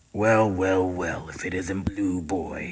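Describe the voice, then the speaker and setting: A cartoonish character voice from a man, very deep and low, monotone and flat, at a fairly slow pace. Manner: theatrical, villainous.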